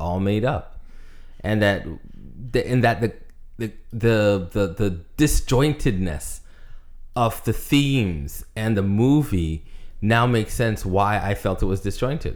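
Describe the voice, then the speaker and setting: At a fairly slow pace, a man with a fairly low pitch speaks in a plain, everyday voice. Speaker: podcast co-host. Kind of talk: casual podcast chat.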